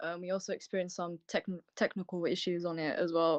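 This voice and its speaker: Against a quiet background, a woman with a British accent speaks at a medium pitch and a fairly quick pace. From UK. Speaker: ritual co-host. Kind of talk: livestream ritual presentation. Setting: online livestream.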